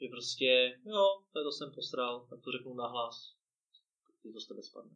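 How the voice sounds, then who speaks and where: This man has a medium pitch. He talks at a moderate pace. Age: 20s. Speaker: podcast host and entrepreneur. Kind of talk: interview. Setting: studio.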